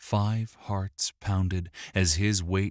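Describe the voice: Fairly even intonation in plain reading aloud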